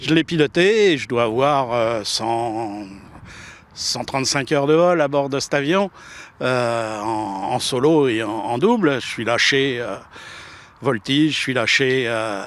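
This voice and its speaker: Long, frequent pauses break up delivery that moves at a very slow pace. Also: man, medium pitch for a man, ordinary pitch variation. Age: 60s. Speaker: former military pilot. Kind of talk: emotional interview. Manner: halting, hesitant.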